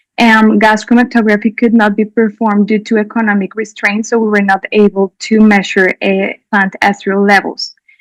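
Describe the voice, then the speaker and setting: Speaking fairly quickly in a Spanish accent, a woman keeps her fairly high voice monotone and flat, with a dry, close sound and no echo. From Colombia. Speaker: doctor presenting a clinical case. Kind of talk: conference presentation.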